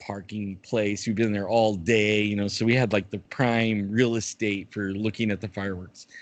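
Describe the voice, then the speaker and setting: A man has an unremarkable speaking voice with a fairly low pitch. He talks at a moderate pace against a quiet background. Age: 60s. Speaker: guest with chronic pain condition, bigfoot YouTuber. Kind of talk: casual interview chat.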